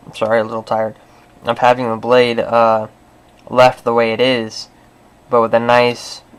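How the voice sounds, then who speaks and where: Fairly slow male speech at a medium pitch, flat and monotone, with long, frequent pauses. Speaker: hobby painting YouTuber. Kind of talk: tutorial. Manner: hesitant, many fillers.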